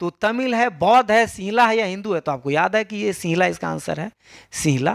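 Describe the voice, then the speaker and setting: A man's high-pitched voice, full of lively intonation and big jumps in loudness, comes through a very clean, dry, close recording with no echo and a silent background. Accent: Bihar. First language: Maithili (speaking Hindi). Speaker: school teacher. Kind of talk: exam paper solution tutorial. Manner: casual, conversational.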